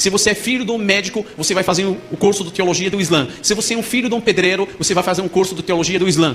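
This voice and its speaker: Noticeable background noise sits behind a man speaking at a very fast pace. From Morocco. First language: Arabic (speaking Portuguese). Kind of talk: testimony.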